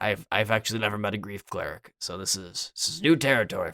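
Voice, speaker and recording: Putting on a character voice, a raspy man talks at a very fast pace with a fairly low pitch. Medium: actual play. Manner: casual, flustered.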